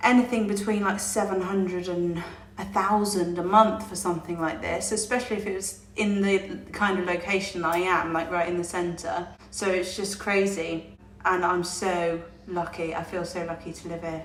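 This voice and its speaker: A woman with an English accent, medium in pitch, at a moderate pace with monotone, flat intonation, plus audible room echo and music in the background. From England. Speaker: vlogger, expat in Italy. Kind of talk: casual vlog to camera.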